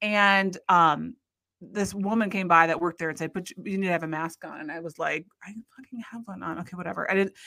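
With an American accent, a woman talks at a fairly quick pace in a fairly low pitch, her intonation fairly even but her loudness swinging widely, over music in the background. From Iowa, US Midwest. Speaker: podcast guest. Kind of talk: casual chat.

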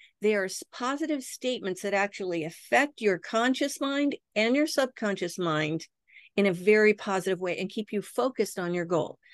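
An ordinary speaking voice from a woman, medium in pitch and moderate in pace, with a dry, close sound, no echo and a quiet background. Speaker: hypnosis educator and founder. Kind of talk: guided meditation.

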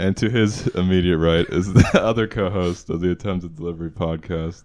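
A man's very deep, low voice with a dark, mellow tone, fairly slow and fairly even in intonation. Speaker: podcast co-host. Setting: recording at a friend's house.

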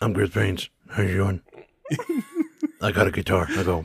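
A man puts on a raspy character voice, pitched fairly low. He talks at a fairly quick pace.

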